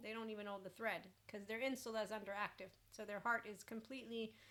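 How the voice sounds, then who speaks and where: Over noticeable background noise, a woman of medium pitch talks at a moderate pace with fairly even intonation. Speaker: life coach and podcast host. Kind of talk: casual spiritual self-help talk.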